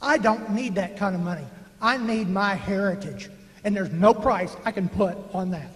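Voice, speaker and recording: Over noticeable background noise, a man with a Texan accent speaks at a high pitch and a moderate pace in an animated tone. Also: ordinary pitch variation. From North Texas (Dallas County). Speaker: public meeting speaker. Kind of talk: public comment. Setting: public meeting with microphone.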